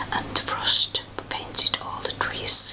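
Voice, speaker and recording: The speech is whispered, very slowly. Behind it, noticeable background noise can be heard. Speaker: ASMR reader. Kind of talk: fairy tale reading.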